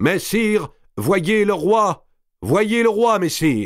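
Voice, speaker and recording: A man uses a put-on character voice pitched high. He talks very slowly with ordinary pitch variation. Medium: read story. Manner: slow, vague.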